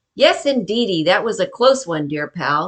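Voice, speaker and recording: In a put-on character voice, a woman at medium pitch speaks at a moderate pace with very wide pitch swings. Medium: read story. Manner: chummy, wisecracking.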